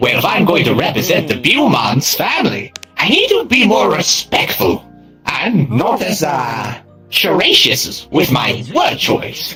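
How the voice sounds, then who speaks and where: Clear music plays behind a man doing a put-on character voice. His pitch sits fairly high and his pace is fairly slow. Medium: game stream. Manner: flowery, eccentric word choice.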